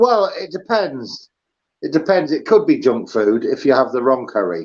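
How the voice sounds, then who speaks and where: A man with an English accent at a moderate pace. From England. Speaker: livestream host. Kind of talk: casual chat. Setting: live stream with video call guest. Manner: hesitant, many ums and uhs.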